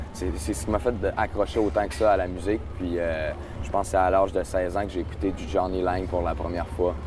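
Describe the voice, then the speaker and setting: Speaking at a moderate pace with a Quebec accent, a man with a very deep, low voice shows ordinary pitch variation, with audible room echo and noticeable background noise. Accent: Québécois French. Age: 20s. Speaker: singer. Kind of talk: interview. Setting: outdoor festival stage. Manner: hesitant, many fillers.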